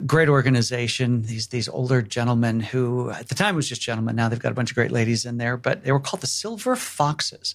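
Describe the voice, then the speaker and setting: A man talks at a very fast pace with hardly any pauses. His pitch is medium, with ordinary variation. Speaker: technology evangelist. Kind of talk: casual interview chat.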